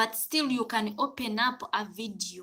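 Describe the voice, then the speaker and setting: A woman with a Ugandan accent speaks in a bright, sharp tone with ordinary pitch variation. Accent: Ugandan accent noted. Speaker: domestic worker and livestreamer. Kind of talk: casual live stream chat. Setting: live stream.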